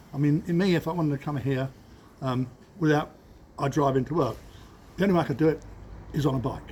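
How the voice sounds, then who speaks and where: A man with an East Anglian accent talks very fast, broken by long, frequent pauses. His voice is fairly high and somewhat breathy, with ordinary pitch variation. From England, Cambridge. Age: 70s. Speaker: business owner. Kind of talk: interview. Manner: halting.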